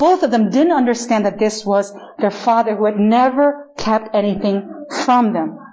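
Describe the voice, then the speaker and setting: A woman with a Spanish accent speaks at a moderate pace in a fairly high voice, her pitch varying in an ordinary way and her loudness very even, over noticeable background noise. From Chile. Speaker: pastor. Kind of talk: sermon. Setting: church.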